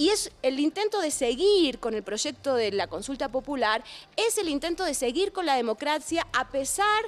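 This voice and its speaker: A woman speaks in an Argentine accent with very wide pitch swings. Noticeable background noise is present. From Argentina. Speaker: philosopher. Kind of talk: interview. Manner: animated.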